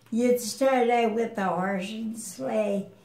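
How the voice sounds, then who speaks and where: A woman speaks very slowly with fairly even intonation against noticeable background noise. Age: 80s+. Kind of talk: interview answer.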